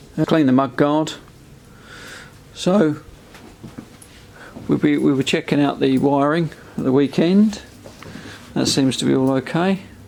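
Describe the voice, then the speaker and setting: Mumbling at a moderate pace with long, frequent pauses, a man speaks in a fairly high pitch with ordinary variation over noticeable background noise. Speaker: motorcycle restorer. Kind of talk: casual video walkthrough. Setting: outdoors at brother's place.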